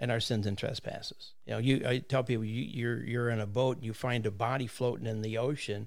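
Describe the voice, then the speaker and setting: A man with a plain, everyday voice talks at a fairly quick pace, medium in pitch and fairly even in intonation. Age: 60s. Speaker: pastor. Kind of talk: casual interview chat. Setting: studio.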